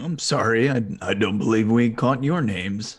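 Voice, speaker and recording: Using a raspy, put-on character voice, a man speaks at a medium pitch and a moderate pace. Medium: actual play. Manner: wry, cheeky.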